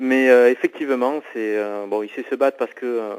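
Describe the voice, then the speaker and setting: In a medium pitch with ordinary pitch variation, a man speaks at a moderate pace. The background is silent on a very clean recording. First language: not French (speaking French). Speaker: author. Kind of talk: interview. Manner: halting, many hesitations.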